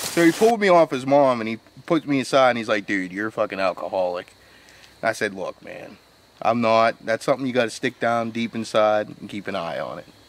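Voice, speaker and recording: A man talks at a fairly quick pace, his loudness swinging widely. His pitch varies in an ordinary way, and the sound is dry with no echo over light background noise. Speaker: comic paranormal investigator. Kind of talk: comedic mock-documentary commentary. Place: forest. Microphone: phone near.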